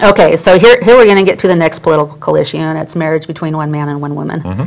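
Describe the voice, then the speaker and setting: The speaker is a woman whose pitch sits fairly low. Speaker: talk show host. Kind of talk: interview conversation and scripture reading. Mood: earnest, conversational. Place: studio. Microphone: lapel.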